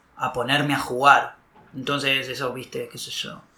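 A man speaks with a Rioplatense accent. There is audible room echo. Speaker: film director, actor and comedian. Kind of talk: casual interview chat. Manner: halting, with repetitions.

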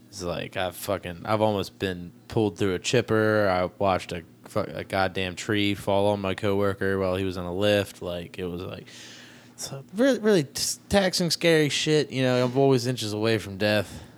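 A man with an ordinary speaking voice, fairly low in pitch, with ordinary pitch variation and a moderate pace. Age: 20s. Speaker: podcast host and comedian. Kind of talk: casual chat.

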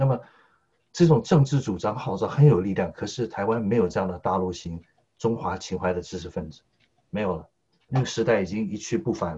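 Fairly quick and lively in intonation, a man speaks at a fairly low pitch in a dark, mellow, somewhat breathy tone. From Taiwan, Taipei. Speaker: political commentator. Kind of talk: political discussion.

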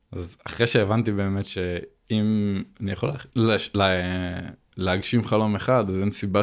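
A man's ordinary speaking voice, fairly low in pitch, with fairly even intonation at a moderate pace, in a very clean recording with a silent background. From Israel, Binyamina. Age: 20s. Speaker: racing driver and driving coach. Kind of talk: casual interview chat.

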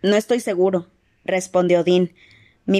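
The background is free of noise and quiet. An unforced reading voice is heard.

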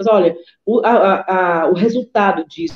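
A woman's medium-pitched voice carries a dark, mellow tone. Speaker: historian and women's rights activist, council candidate. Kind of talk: live-streamed interview, personal testimony.

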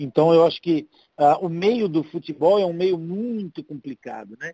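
In an ordinary speaking voice, a man talks at a fairly slow pace with a fairly high pitch and lively intonation. The sound is dry and close, with no echo. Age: 50s. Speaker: paralympic wheelchair tennis player. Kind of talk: casual chat.

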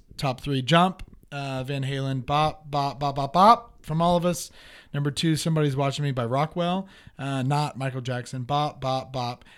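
Recorded very cleanly against a silent background, a man with a fairly high voice speaks at a moderate pace with ordinary pitch variation. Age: 20s. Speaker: podcast co-host. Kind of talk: casual chat. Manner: animated.

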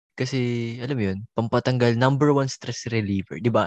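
In a dry, close recording with a quiet background and no echo, a man with a plain, everyday voice talks at a moderate pace and medium pitch, his pitch varying in an ordinary way. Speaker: podcast co-host, college student. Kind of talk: casual chat.

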